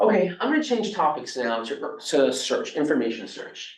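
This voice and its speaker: With an American accent, a man speaks at a moderate pace in a fairly high pitch, making very wide pitch swings. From New York. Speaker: robotics professor. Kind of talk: lecture.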